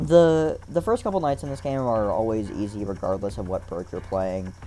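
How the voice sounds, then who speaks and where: A man with a dark, mellow tone and fairly low pitch speaks with very wide pitch swings. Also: moderate pace. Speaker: gaming streamer. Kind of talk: gameplay commentary. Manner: halting, repeats words; casual rambling.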